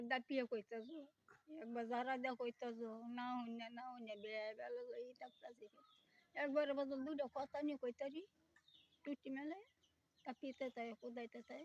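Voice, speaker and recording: A woman speaks at a high pitch with fairly even intonation, in a dry, close sound with no echo. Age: 70s. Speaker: elderly widowed villager. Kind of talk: interview answers.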